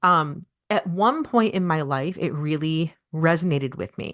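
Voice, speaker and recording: A woman speaks with an American accent at a very deep, low pitch, her intonation lively and her tone animated. The background is quiet. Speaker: podcast host. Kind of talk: solo podcast monologue. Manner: fast.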